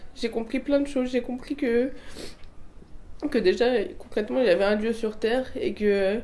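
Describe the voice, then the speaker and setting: Her tone is dark and mellow, pitched fairly high for a woman. She keeps a fairly even intonation at a moderate pace. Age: 20s. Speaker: religious convert. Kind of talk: testimony. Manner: halting, many fillers and restarts.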